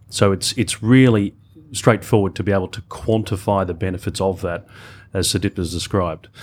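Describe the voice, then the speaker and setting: A man with an Australian accent speaks at a fairly low pitch with fairly even intonation. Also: very clean recording, silent background. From Australia, Melbourne. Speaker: corporate digital executive. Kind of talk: panel discussion.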